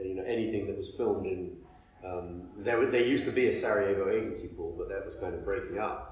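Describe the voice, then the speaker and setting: Room echo can be heard. Through it, a man speaks at a very fast pace. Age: 50s. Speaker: media executive and former journalist. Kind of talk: interview. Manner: halting.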